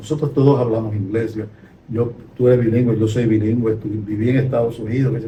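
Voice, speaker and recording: Intonation stays fairly even. Audible room echo surrounds the voice. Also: man. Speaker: retired sociology professor. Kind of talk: conversational podcast discussion.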